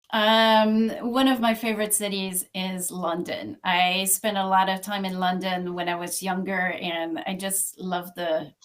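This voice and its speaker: A woman with a Quebec French accent, fairly slow in pace and with hardly any pauses. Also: medium pitch for a woman, fairly even intonation. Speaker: localization executive. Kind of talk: podcast interview.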